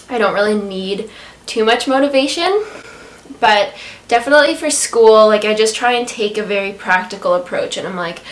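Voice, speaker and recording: Noticeable background noise fills the recording. The woman's voice sits at a fairly high pitch. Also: ordinary pitch variation, moderate pace. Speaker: vegan food blogger. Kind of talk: casual talk to camera.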